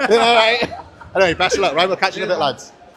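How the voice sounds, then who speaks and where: Over noticeable background noise, a man's speech rushes at a very fast pace. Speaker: podcast host and powerlifter. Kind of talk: casual vlog walkthrough. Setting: walking around a gym venue. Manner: animated.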